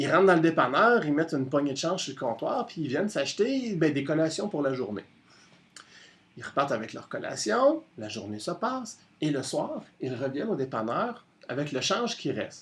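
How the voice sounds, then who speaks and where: A man with a Quebec accent, fairly high in pitch with very wide pitch swings, at a moderate pace. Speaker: storyteller. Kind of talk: oral storytelling on radio. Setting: radio studio.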